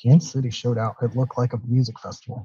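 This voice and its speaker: Quiet and somewhat breathy, a man speaks at a medium pitch in a dark, mellow tone, his intonation monotone and flat. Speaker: podcast guest. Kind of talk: casual chat. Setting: remote from public library. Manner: subdued, quiet.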